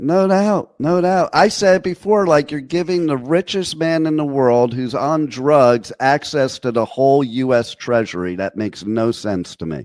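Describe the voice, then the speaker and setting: Speaking with a New Jersey accent, a man with a fairly high pitch swings very widely up and down, going at a fairly slow pace with hardly any pauses. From New York and New Jersey. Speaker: internet radio host. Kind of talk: casual interview chat.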